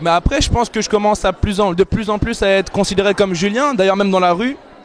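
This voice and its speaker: Noticeable background noise sits behind a man with a high pitch. He talks very fast, with ordinary pitch variation. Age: 20s. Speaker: TV columnist. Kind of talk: interview.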